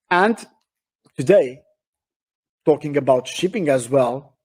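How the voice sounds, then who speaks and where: This man speaks with a Portuguese accent. His pitch is fairly high. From Portugal. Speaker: shipping industry speaker. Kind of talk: webinar talk. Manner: halting, many fillers and repetitions.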